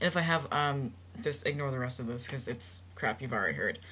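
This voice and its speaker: A woman speaks with a very deep, low pitch, lively intonation and vocal fry. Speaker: transgender vlogger. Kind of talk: personal video blog. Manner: hesitant, many fillers.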